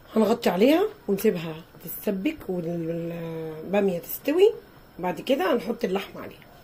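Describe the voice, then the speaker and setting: Lively intonation and a moderate pace mark this speaker with an Egyptian accent, heard over noticeable background noise. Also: woman, medium pitch for a woman. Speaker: cooking channel host. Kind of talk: cooking tutorial.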